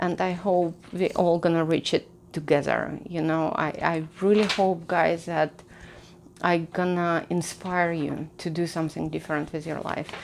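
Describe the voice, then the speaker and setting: A woman with a non-native accent, fairly low in pitch, at a moderate pace. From outside the US, came to America at 25. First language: not English. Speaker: personal finance YouTuber. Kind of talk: casual advice talk to camera. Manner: conversational, with frequent fillers and restarts.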